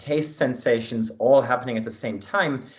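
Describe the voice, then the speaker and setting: This is a man speaking. He has a German accent. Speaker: linguistics researcher. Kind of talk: academic talk. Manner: hesitant with fillers.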